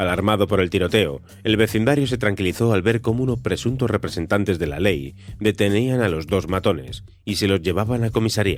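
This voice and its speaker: A man with a plain, everyday voice, fairly low pitch, ordinary pitch variation and very even loudness. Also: fairly quick pace. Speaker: podcast narrator. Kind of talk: history documentary narration.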